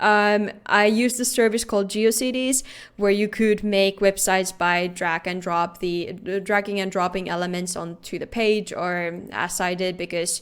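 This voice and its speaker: A woman speaks in a Finnish accent at medium pitch and moderate pace. Her intonation is fairly even, with hardly any pauses. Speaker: security researcher. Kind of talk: conference talk.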